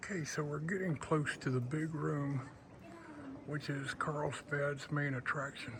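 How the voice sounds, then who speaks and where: A fairly slow pace with noticeable background noise. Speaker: travel vlogger. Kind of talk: travel vlog narration. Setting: inside a cave.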